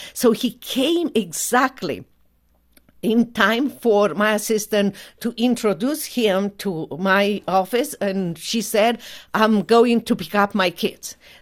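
A woman with a Romanian accent speaks at a very slow pace and a fairly high pitch with ordinary pitch variation, on a very clean recording with a silent background. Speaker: human rights attorney. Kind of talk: testimony.

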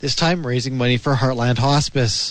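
Here a man talks at a fairly quick pace in a medium pitch. He has an ordinary speaking voice. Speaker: news reader. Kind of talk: news reading.

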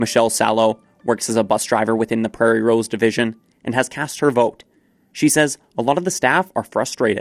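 A man with a Canadian accent talks at a fairly quick pace in a medium pitch, his intonation rising and falling in an ordinary way, recorded dry and close with no echo while music plays in the background. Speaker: radio newsreader. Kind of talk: brisk local radio newsreading, crisp and scripted, even-toned delivery of headlines. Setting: studio. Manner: formal; brisk and steady.

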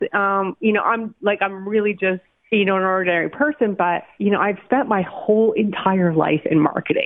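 A woman with a Canadian accent and an ordinary speaking voice, medium pitch, ordinary pitch variation, moderate pace, and very even loudness. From Calgary, Alberta, Canada. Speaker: marketing business owner. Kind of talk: interview.

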